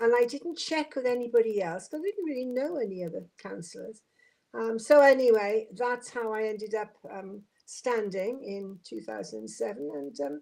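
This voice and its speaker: Speaking at a moderate pace with a Welsh accent, a woman uses a fairly high pitch with very wide pitch swings and big swings in loudness. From Wales, Swansea. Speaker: former local councillor. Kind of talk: podcast interview.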